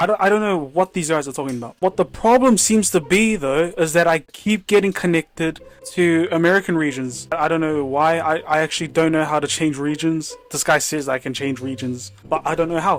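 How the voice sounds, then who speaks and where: A man talks at a fairly quick pace with hardly any pauses and ordinary pitch variation, with noticeable background noise behind him. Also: fairly high pitch for a man. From New Zealand. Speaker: gaming YouTuber. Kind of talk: casual commentary.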